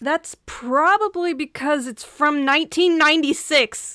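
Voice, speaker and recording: In a raised, projected voice with an American accent, the speaker goes at a fairly slow pace in a very clean recording with a silent background. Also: woman. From US Midwest. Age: 20s. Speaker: animator and YouTuber. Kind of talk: casual commentary over speedpaint. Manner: animated.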